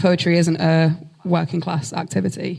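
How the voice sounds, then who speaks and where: Against noticeable background noise, a woman speaks with a strong Hull accent at a fairly low pitch. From northern England, Hull. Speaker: spoken word poet. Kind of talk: live panel conversation. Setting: stage with audience.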